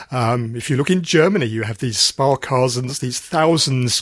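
Ordinary pitch variation and a moderate pace mark this man's unremarkable speaking voice at medium pitch. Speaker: financial podcast host. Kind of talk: news reading and interview. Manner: formal.

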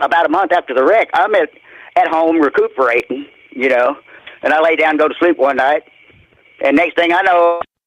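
With a Southern US accent, a man speaks at a moderate pace and fairly high pitch, his loudness very even, his pitch variation ordinary, and his long pauses frequent, in a dry, close sound with no echo. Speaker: caller. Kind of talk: testimony. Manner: halting.

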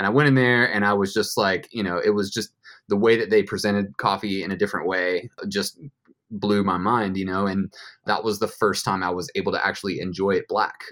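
A man with an American accent talks at a fairly quick pace in an unremarkable speaking voice, his fairly low pitch carried by fairly even intonation. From US South, Georgia (west of Atlanta). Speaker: coffee roaster and business owner. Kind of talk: casual interview. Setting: video call.

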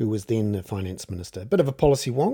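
Over a silent background in a very clean recording, a man speaks with a New Zealand accent at a fairly quick pace. His voice is fairly low in pitch, with a dark, mellow tone. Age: 50s. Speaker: journalist and podcast host. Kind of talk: solo commentary podcast. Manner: casual with many filler words.

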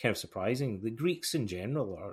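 Somewhat breathy, a man with a Scottish accent talks at a fairly quick pace. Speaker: podcast host. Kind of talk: casual interview chat. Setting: remote audio call.

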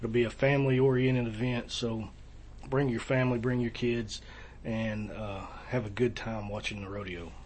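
With long, frequent pauses, a man talks in a somewhat breathy voice with fairly even intonation. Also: medium pitch for a man, moderate pace. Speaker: county sheriff. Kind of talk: casual interview. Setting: office.

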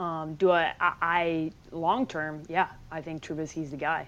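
A woman's fairly low voice in a Chicago accent, against a quiet background. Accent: Chicago Midwestern. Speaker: sports journalist. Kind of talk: casual chat.

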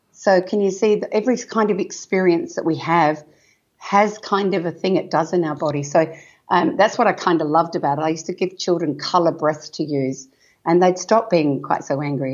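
An Australian accent at a moderate pace, with ordinary pitch variation. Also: woman. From Western Australia wheat belt. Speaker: parenting author and educator. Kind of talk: casual interview chat. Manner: energetic, animated.

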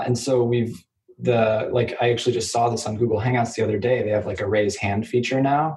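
Talking at a fairly quick pace, a man with an American accent uses a normal speaking voice at a medium pitch with fairly even intonation. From US Midwest, Kansas City. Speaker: startup lawyer. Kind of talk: interview.

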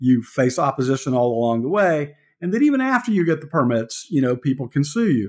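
A man with an American accent talks at a fairly quick pace, with lively intonation and a fairly high pitch. He has an unremarkable speaking voice. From US South, Georgia. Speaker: veteran journalist and book co-author. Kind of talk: interview conversation.

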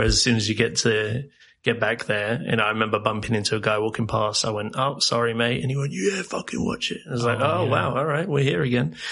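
Hardly pausing, a man talks at a very fast pace. Noticeable background noise runs underneath. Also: medium pitch for a man, ordinary pitch variation. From South Africa and England. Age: 30s. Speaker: podcast guest working in retail. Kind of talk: casual chat. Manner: animated.

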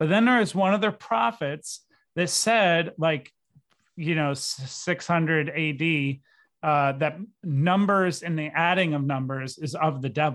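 In a very clean recording with a silent background, a man with an American accent and a plain, everyday voice speaks at a fairly slow pace with a fairly high pitch and ordinary pitch variation. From Syracuse, New York, US. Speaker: filmmaker. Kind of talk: casual chat.

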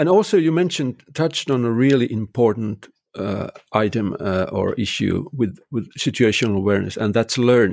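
A man's medium-pitched voice with a Finnish accent, lively intonation and a moderate pace. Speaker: construction technology consultant. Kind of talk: interview conversation. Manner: halting, many fillers.

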